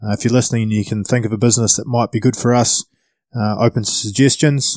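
Recorded very cleanly with a silent background and a dry, close sound with no echo, a man of medium pitch speaks very fast in a New Zealand accent with fairly even intonation. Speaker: podcast host. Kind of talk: scripted announcement.

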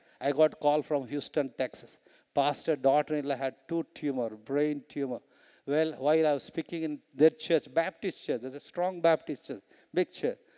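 In a very clean recording with a silent background and a dry, close sound with no echo, a man with an Indian accent speaks at a fairly high pitch and moderate pace. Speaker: preacher. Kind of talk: sermon. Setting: stage with audience. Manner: animated; frequent laughter.

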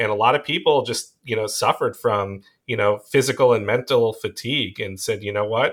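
A man with a slight Long Island accent, talking with hardly any pauses. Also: fairly quick pace, very clean recording, silent background. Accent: slight Long Island New York. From US Northeast (Long Island, New York). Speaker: pediatric emergency doctor. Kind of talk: casual interview.

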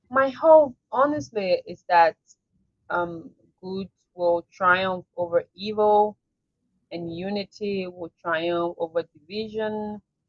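The speech comes at a very slow pace with big swings in loudness. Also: woman, medium pitch for a woman, ordinary pitch variation. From Liberia. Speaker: activist and entrepreneur. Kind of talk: interview conversation. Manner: hesitant, many fillers.

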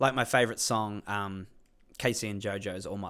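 On a very clean recording with a silent background, a man with an Australian accent speaks at a fairly quick pace in a bright, sharp tone, his fairly low pitch showing ordinary variation. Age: 20s. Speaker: comedy podcast co-host. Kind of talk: casual chat.

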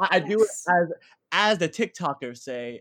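A man's American accent with lively intonation. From New Jersey. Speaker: graduate student in theater. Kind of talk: casual chat. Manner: animated.

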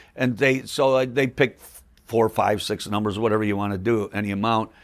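A man with an ordinary speaking voice talks at a moderate pace and medium pitch, with ordinary pitch variation, on a very clean recording with a silent background. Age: 60s. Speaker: magician, comedian and prop inventor. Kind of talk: casual interview chat.

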